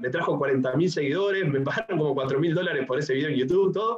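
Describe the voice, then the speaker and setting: A man talks at a very fast pace with a Uruguayan accent. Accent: Uruguayan Spanish (Rioplatense). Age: 20s. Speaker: entrepreneur and YouTuber. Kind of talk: casual interview.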